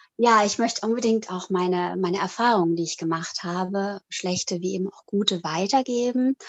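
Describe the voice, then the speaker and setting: This woman talks at a moderate pace and a medium pitch, with ordinary pitch variation. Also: hardly any pauses. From Italy (German-speaking family, born in Switzerland). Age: 40s. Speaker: author and psychological counsellor. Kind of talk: interview. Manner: hesitant, many fillers.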